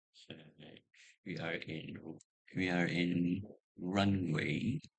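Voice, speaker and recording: A man's very deep, low voice at a very slow pace, with fairly even intonation and audible room echo. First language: not English. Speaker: YouTuber. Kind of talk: tutorial. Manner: halting.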